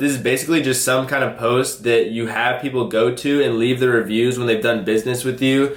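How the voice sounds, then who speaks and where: Very fast and with hardly any pauses, a man with an American accent speaks at very even loudness with fairly even intonation. Noticeable background noise is present. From US Pacific Northwest (Seattle). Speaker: online reseller / YouTuber. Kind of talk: tutorial. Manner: casual, filler-heavy.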